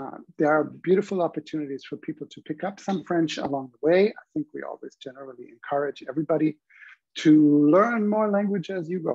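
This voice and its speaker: A man with a German accent, high-pitched for a man, talking at a fairly quick pace with ordinary pitch variation and big swings in loudness, in a dry, close sound with no echo. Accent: non-native, audible German. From Germany. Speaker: university professor. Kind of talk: online information session presentation.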